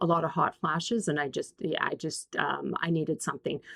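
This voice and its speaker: Recorded with a dry, close sound and no echo, a woman with a Canadian accent speaks at a fairly low pitch. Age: 60s. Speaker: YouTuber. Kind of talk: casual tutorial. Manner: halting.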